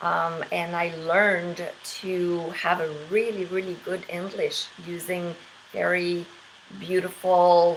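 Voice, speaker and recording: Speaking at a very slow pace with a slight French accent, a woman uses a fairly low pitch and monotone, flat intonation. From Quebec. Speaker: English teacher. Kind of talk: casual monologue. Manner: hesitant with many fillers.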